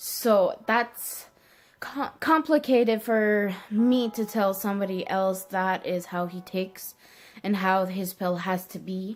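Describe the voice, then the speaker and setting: Here a woman speaks at a very slow pace. Her medium-pitched voice shows ordinary pitch variation. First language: French. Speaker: vlogger. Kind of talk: casual chat. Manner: halting, with many ums and self-corrections.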